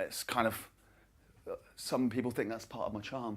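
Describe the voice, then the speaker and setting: Fairly quick delivery from a man at a medium pitch. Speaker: stand-up comedian. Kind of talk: stand-up. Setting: stage with audience. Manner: fast.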